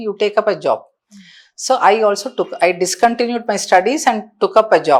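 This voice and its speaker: On a very clean recording with a silent background, a woman speaks at a fairly quick pace in a fairly high pitch. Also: ordinary pitch variation. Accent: Indian. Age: 60s. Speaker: counselor. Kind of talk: podcast interview answer.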